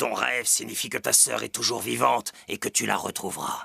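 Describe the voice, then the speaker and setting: A man's raspy, cartoonish character voice, calm in tone and at a moderate pace, with a dry, close sound and no echo. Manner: calm, measured, sage.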